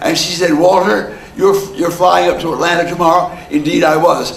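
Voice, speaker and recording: Someone with an American accent talks at a moderate pace, with audible room echo and noticeable background noise. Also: man. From New Jersey. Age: 90s. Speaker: elderly storyteller. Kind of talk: oral history storytelling. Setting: heritage center talk to audience. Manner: halting, repeats words.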